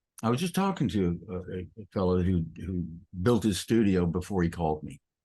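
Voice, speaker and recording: Against a quiet background, a man speaks at a fairly quick pace in a very deep, low pitch with fairly even intonation. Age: 70s. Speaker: acoustic designer. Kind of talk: casual chat.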